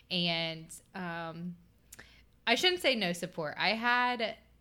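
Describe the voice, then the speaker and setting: With an American accent, the speaker has a bright, sharp tone and lively intonation. The recording is very clean, and the background is silent. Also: woman. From Southern Ohio. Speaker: hairstylist and makeup artist. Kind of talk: casual chat.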